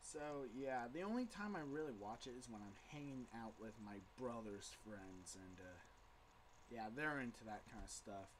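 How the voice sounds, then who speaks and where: Audible room echo around a man speaking at a medium pitch. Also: ordinary pitch variation, moderate pace. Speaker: intern pastor and vlogger. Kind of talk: casual video blog. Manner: slightly slurred speech; hesitant, many fillers. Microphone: poor, unedited webcam audio.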